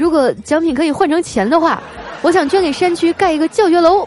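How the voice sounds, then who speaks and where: Over noticeable background noise, a woman talks at a fairly quick pace in an animated tone. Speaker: podcast host. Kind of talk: comedic monologue.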